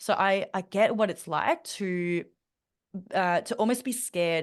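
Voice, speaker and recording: At a fairly slow pace, a woman speaks with an Australian accent. Her pitch is medium with ordinary variation over a quiet background. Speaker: mentor and public speaker. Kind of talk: interview conversation. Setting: podcast. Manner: frequent fillers and restarts.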